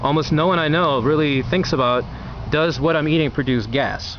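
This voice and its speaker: Man with ordinary pitch variation. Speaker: video blogger reviewing food. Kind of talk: casual talk-to-camera review. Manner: fast; halting, many fillers and restarts.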